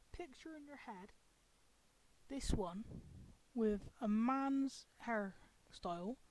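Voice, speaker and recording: Speaking very slowly with long, frequent pauses, a woman with a British accent uses a fairly high pitch, lively intonation and big swings in loudness. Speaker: video commentator. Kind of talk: casual rant commentary. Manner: lethargic.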